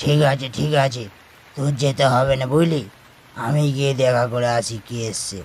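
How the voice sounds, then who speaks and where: A man performs a cartoonish character voice. His pitch is medium. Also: moderate pace, fairly even intonation. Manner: cautious, repeats himself.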